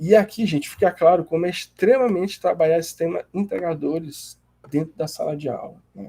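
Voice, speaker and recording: Talking at a fairly quick pace, a man with a high pitch shows big swings in loudness. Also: ordinary pitch variation. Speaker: graduate student presenting a seminar. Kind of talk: class seminar presentation. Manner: hesitant, many fillers.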